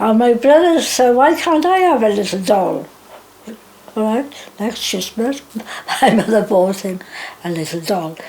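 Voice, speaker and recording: Over noticeable background noise, a woman talks with a fairly high pitch. Her pitch swings very widely at a moderate pace. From Wales. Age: 80s+. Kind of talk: oral history interview. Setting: home.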